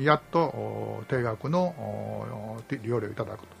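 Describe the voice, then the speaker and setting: A man speaks over noticeable background noise. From Japan, Nantan, Kyoto Prefecture. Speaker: community organizer. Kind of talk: radio interview.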